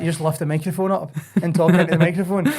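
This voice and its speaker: A man with a Glaswegian accent talks at a very fast pace in a fairly high pitch, his intonation monotone and flat. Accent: Glaswegian Scottish. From Scotland, Glasgow East End. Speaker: singer and entertainer. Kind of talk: casual chat.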